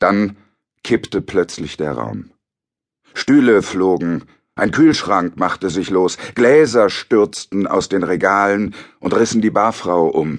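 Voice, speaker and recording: At a very slow pace, a man speaks at a fairly low pitch with ordinary pitch variation. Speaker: audiobook narrator. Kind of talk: dramatic audiobook narration of a shipwreck. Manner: grave, measured, suspenseful.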